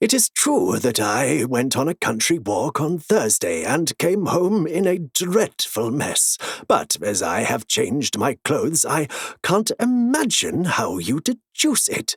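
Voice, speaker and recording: A man puts on a character voice at a fairly high pitch, recorded with a dry, close sound and no echo. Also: fairly slow pace. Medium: read story. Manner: warm, earnest.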